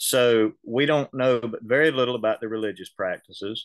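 A man with a Southern US accent talks at a moderate pace. His intonation is fairly even against a quiet background. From US South. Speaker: local historian and reenactor. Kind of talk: lecture. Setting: video call. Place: office. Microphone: video call.

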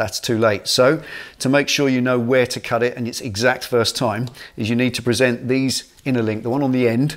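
A man speaks at a fairly quick pace with monotone, flat intonation. The background is quiet. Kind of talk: tutorial. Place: garage.

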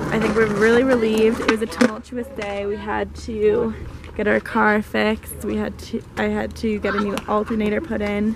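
A woman at a moderate pace, dry sound with no echo, noticeable background noise behind her. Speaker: travel vlogger. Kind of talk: casual vlog chat. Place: street. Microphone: phone near.

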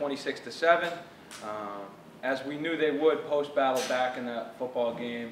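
Moderate pace from a man, audible room echo, and light background noise. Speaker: football coach. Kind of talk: speech to luncheon audience. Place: hall. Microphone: camera far.

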